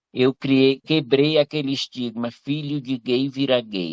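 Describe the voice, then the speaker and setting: An ordinary speaking voice from a man, fairly high in pitch, at a fairly slow pace. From Teresina, Piauí, northeastern Brazil. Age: 60s. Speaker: retired civil servant, audience participant. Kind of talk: personal testimony in live Q&A.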